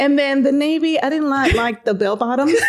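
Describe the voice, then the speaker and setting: With noticeable background noise, a woman with a high pitch speaks in an animated tone at a moderate pace with ordinary pitch variation. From Dominican Republic. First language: Spanish. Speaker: Marine veteran, veterans coordinator. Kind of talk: casual chat.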